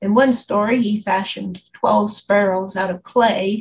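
Fairly slow and somewhat breathy, a woman's speech keeps a fairly even intonation. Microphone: video call.

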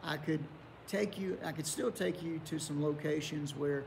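A man speaks at a moderate pace with a fairly high pitch. Light background noise sits behind him. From southern West Virginia (Welch area); West Virginia. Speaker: pastor. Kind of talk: Bible study lesson. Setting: online video recording. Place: church.

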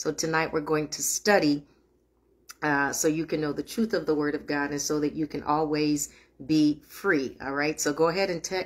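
A woman talks at a moderate pace. Her pitch is very deep and low. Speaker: minister leading online prayer meeting. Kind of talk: sermon. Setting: livestream. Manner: warm, affectionate. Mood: warm, earnest, exhorting. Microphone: phone near.

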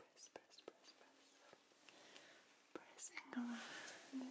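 A woman whispering at a very slow pace. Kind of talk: ASMR role-play, soft personal attention. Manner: soft, close ASMR murmur.

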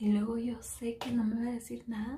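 This woman speaks quietly. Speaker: beauty vlogger. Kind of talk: makeup tutorial vlog. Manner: speaking quietly; casual, filler-heavy. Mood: playful, chatty. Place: bathroom. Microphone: phone near.

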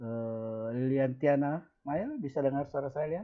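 A man talks at a fairly slow pace with ordinary pitch variation. The background is quiet. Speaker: school teacher. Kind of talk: online class lesson. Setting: video call. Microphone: webcam.

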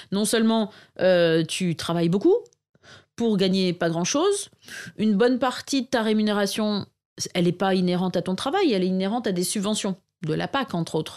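At a moderate pace with long, frequent pauses, a woman speaks at medium pitch with ordinary pitch variation on a very clean recording with a silent background. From northern France, Arras. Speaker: market gardener and permaculture consultant. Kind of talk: interview conversation.

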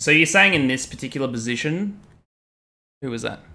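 With an Australian accent, a man speaks at a fairly quick pace in a medium, bright and sharp voice with ordinary pitch variation. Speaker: chess streamer. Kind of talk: casual live stream chat while playing chess. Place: home room.

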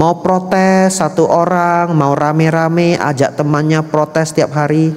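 Speaking at a fairly slow pace, this man has a fairly high pitch. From Medan, North Sumatra, Indonesia; North Sumatra, Indonesia. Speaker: Buddhist monk; Buddhist monk teacher. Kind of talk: sermon. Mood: warm, lightly humorous. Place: hall. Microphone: handheld.

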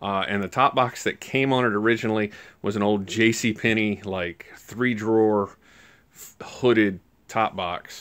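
A man talks rather slowly, and little can be heard behind him. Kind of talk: casual vlog chat. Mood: relaxed, chatty. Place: garage. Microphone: phone near.

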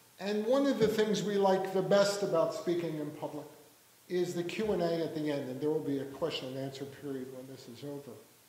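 A man speaks at a fairly quick pace with a fairly high pitch and big swings in loudness. Room echo is audible. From Philadelphia. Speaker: journalist and author; journalist. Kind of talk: book talk with readings. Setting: library event with audience. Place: hall. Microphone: lapel.

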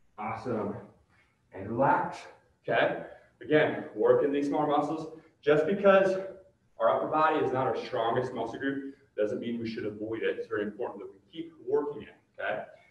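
A man speaks with long, frequent pauses, and the room echo is audible. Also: moderate pace. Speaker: fitness director and workout instructor. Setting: home or gym workout video recorded to camera, with a ladder behind him. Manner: friendly and conversational, calling the viewers 'guys' and cheering them on. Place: gym. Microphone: camera far.

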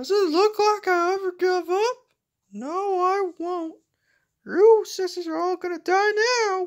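An extremely high-pitched voice at a fairly slow pace. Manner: boastful, scheming.

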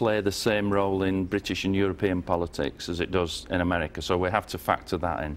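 With a northern English accent, a man speaks at a moderate pace in a fairly low pitch. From northern England. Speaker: former member of parliament; guest. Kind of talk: TV interview. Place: studio.

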